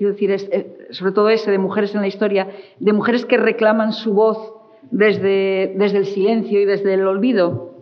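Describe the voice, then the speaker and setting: A woman is heard speaking through audible room echo and noticeable background noise. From Asturias, Spain. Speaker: writer and interviewer. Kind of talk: interview. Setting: stage with audience.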